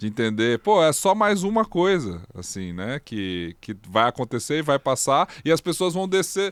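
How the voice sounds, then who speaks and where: On a very clean recording with a silent background and a dry, close sound with no echo, a man with a fairly high pitch speaks at a fairly slow pace with very wide pitch swings. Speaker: podcast co-host. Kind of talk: casual chat.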